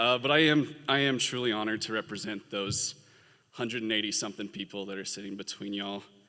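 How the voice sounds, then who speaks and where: Speaking at a very fast pace with an American accent, a man uses a fairly low pitch and a bright, sharp tone. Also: ordinary pitch variation. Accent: Southern US accent, comes out when nervous. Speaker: graduating law student. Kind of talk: commencement speech. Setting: stage with audience.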